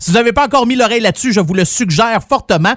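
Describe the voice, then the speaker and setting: A man with a Quebec accent speaks in an animated tone at a high pitch. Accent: Québécois French. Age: 40s. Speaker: radio host. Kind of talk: radio music show.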